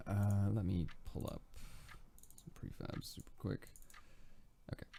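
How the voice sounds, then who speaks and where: The man's tone is dark and mellow. He speaks at a fairly slow pace. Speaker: game developer. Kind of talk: casual dev update for patrons.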